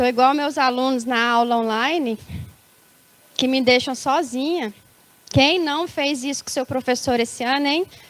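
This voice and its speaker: A high-pitched woman's voice with ordinary pitch variation, a fairly slow pace and long, frequent pauses, against noticeable background noise. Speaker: preacher. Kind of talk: sermon. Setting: church service.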